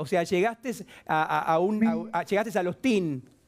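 Against a quiet background, a man speaks in a high pitch. His pace is moderate and his pitch variation is ordinary. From Argentina. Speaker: fashion TV panelist; TV host. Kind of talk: casual chat. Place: studio. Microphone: lapel.

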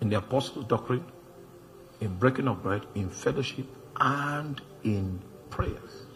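A man's lively intonation at a fairly slow pace, with music in the background. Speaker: preacher. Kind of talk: sermon. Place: church. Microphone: handheld.

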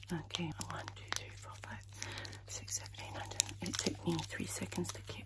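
Softly whispering at a moderate pace, a woman can be heard over loud background noise. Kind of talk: soft personal-attention role-play chat. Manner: soft whispered counting, fast. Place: home room. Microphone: phone near.

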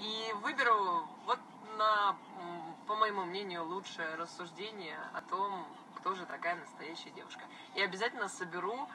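Woman's voice at a fairly slow pace with long, frequent pauses, ordinary pitch variation, and noticeable background noise. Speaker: blogger. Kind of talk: casual live stream chat answering viewers. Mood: relaxed, friendly. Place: car. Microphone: phone near.

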